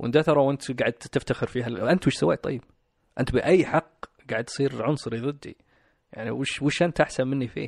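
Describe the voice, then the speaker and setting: In a normal speaking voice, a man talks at a fairly quick pace and medium pitch with ordinary pitch variation, in a dry, close sound with no echo. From Saudi Arabia (Riyadh), Pakistani parents. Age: 30s. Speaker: guest sharing life story. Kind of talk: personal interview. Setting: studio.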